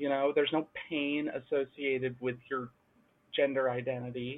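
A woman's very deep, low-pitched voice at a moderate pace. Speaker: gamer panelist. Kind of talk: casual panel chat.

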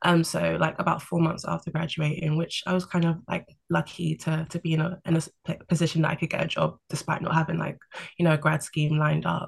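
A speaker with a London accent talks at a fairly quick pace. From London, England. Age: 20s. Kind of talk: casual chat. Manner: calm, level-headed.

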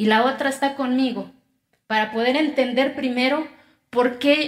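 The woman's intonation remains fairly even. She has a high pitch. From Oaxaca, Mexico. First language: Zapotec (speaking Spanish). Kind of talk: talk.

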